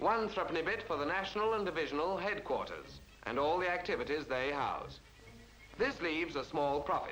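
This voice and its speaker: Over music in the background, a man with a high pitch speaks at a fairly quick pace with ordinary pitch variation. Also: very even loudness. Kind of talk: newsreel narration.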